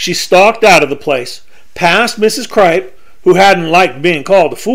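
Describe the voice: Ordinary pitch variation in plain reading aloud.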